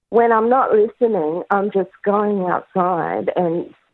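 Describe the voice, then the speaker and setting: With an Australian accent, a woman talks at a fairly slow pace, her medium pitch showing ordinary variation. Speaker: caller. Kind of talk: call-in conversation. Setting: phone call.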